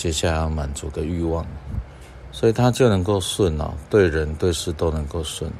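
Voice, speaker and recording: Audible room echo fills the space around a man with a very deep, low pitch. He sounds somewhat breathy, with ordinary pitch variation. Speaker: doctor and podcast host. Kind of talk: reflective monologue talk. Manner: unhurried with frequent filler sounds.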